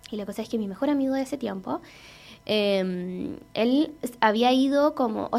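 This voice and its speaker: A woman's lively intonation in a Chilean accent. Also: very clean recording, silent background. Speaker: podcast host. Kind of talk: casual chat.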